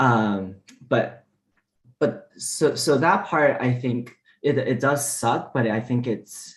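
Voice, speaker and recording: A man talks at a medium pitch, somewhat breathy, with ordinary pitch variation. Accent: Mandarin. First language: Mandarin. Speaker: diplomat. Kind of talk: panel discussion.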